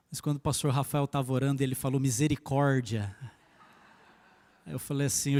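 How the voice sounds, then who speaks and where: Heard on a very clean recording with a silent background and a dry, close sound with no echo, a man speaks in a fairly high pitch. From interior of São Paulo state, Brazil (Jacareí). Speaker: pastor. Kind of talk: sermon. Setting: church.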